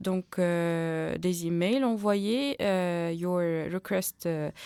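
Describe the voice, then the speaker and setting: A woman speaks in a dark, mellow tone at a fairly low pitch, with ordinary pitch variation. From Tunisia. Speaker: community radio journalist. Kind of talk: radio interview. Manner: halting, many fillers and repetitions.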